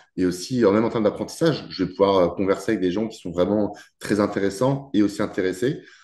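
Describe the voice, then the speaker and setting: A man's fairly low voice with a dark, mellow tone, ordinary pitch variation and a quiet background. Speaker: nutrition and weight-cut coach. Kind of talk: podcast interview. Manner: fast; hesitant, many fillers.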